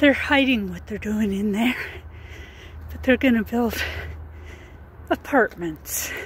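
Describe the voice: A woman speaks at a slow pace. Her pitch is fairly high, with ordinary pitch variation.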